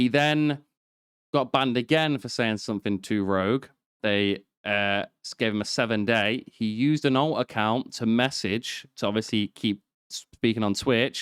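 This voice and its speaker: A man with a British accent, medium pitch and ordinary pitch variation at a moderate pace, in a dry, close sound with no echo over a very clean, silent background. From Britain. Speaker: podcast host. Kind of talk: casual chat.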